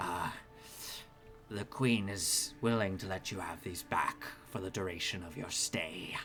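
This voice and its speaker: Using a put-on character voice, a man speaks at a fairly low pitch and moderate pace with long, frequent pauses over clear background noise. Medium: actual play. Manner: hesitant, formal, halting.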